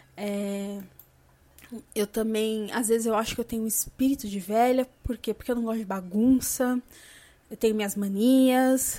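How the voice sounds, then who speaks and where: A woman's fairly high voice has a dark, mellow tone and fairly even intonation, broken by long, frequent pauses. The recording is very clean with a silent background. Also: moderate pace. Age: 30s. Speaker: podcast host. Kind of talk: casual monologue.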